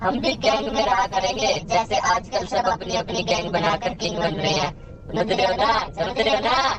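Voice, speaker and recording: Over clear background noise, a put-on character voice that sounds female-sounding comes through at a moderate pace. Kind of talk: comic overacting. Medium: machinima. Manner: comic, rambling.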